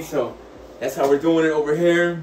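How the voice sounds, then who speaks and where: A man's high-pitched voice with audible room echo and light background noise. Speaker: content creator giving a building tour. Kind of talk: casual vlog chat. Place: home room.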